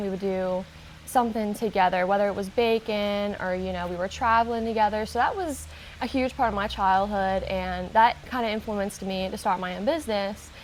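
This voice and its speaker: A woman with an American accent and an unremarkable speaking voice talks at a fairly quick pace. Her pitch is medium and her intonation fairly even. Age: 20s. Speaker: baker, small business owner. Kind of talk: interview answer.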